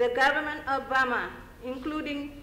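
A woman's high voice at a fairly slow pace, with light background noise and audible room echo. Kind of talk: prepared speech. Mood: earnest, measured appeal. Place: hall. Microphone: podium.

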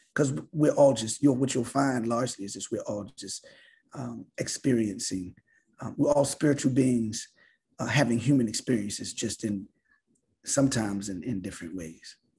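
A man with a Baltimore accent talks at a moderate pace in a dark, mellow, somewhat breathy tone, with ordinary pitch variation and big swings in loudness. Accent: Baltimore American English. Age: 50s. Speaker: visual artist; guest. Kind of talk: artist talk. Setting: video call. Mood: reflective, warm. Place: home room. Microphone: video call.

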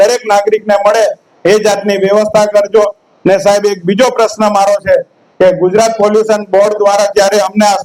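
Speaking in a flat monotone, a man uses a high pitch. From Jhagadia, Bharuch, Gujarat, India. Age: 40s. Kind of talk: public hearing speech. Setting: public hearing with crowd. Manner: impassioned.

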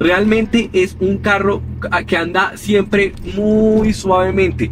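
A man talks over clear music in the background. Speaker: car owner reviewer. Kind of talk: casual car review commentary. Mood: relaxed, pleased. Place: car. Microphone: camera far.

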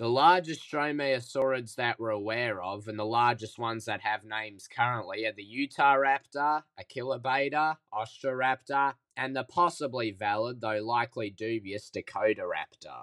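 Recorded with a dry, close sound and no echo, a man speaks in a plain, everyday voice at medium pitch and a moderate pace, with ordinary pitch variation and hardly any pauses. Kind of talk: educational documentary narration.

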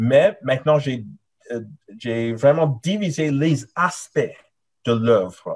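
A man's somewhat breathy voice at a very slow pace, with long, frequent pauses over a quiet background. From Nigeria and Canada. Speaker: professor; candidate. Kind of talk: academic thesis defense presentation. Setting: video call. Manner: hesitant, many fillers. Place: home room. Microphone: webcam.

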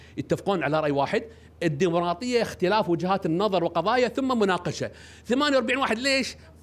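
A man's high-pitched, animated voice with lively intonation at a moderate pace. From Kuwait. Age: 60s. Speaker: parliamentary candidate. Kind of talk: press statement. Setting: press conference. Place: hall. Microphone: podium.

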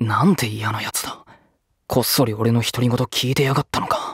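Putting on a raspy character voice, a man talks at medium pitch and moderate pace with ordinary pitch variation. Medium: dub. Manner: brusque, irritable.

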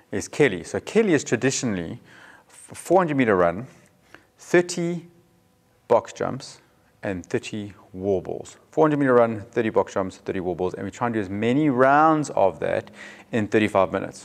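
A man speaks fairly slowly with a quiet background behind him. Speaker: fitness coach. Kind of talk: tutorial. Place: gym.

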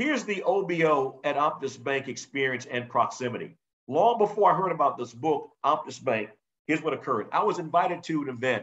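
Against a quiet background, a man with an American accent and a fairly high pitch talks at a fairly quick pace with lively intonation. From South Carolina, North Charleston; South Carolina. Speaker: business instructor. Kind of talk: webinar presentation. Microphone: video call.

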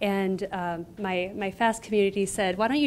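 Against light background noise, a woman with an American accent speaks at a medium pitch. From US Midwest, Iowa. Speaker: graduate student; presenter. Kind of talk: lecture. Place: classroom. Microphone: handheld.

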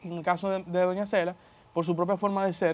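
A man talks at a fairly quick pace, keeping his intonation fairly even. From Dominican Republic. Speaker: politician. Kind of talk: interview. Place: studio. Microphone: lapel.

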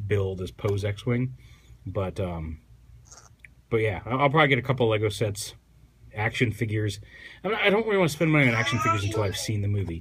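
Over light background noise, a man talks at a fairly quick pace. He leaves long, frequent pauses. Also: fairly low pitch for a man, ordinary pitch variation. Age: 30s. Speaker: toy reviewer. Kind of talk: product review. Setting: sitting on the floor at home. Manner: casual, hesitant with fillers. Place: home room. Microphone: phone near.

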